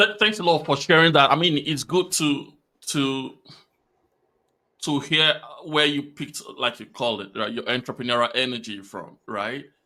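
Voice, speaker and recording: A man with a Nigerian accent, fairly high-pitched and bright, sharp in tone, with lively intonation at a moderate pace on a very clean recording with a silent background. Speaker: podcast host. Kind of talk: interview.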